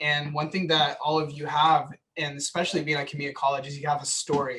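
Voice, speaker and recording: A man with an American accent talks very fast in a fairly high pitch. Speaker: transfer student panelist. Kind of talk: panel talk.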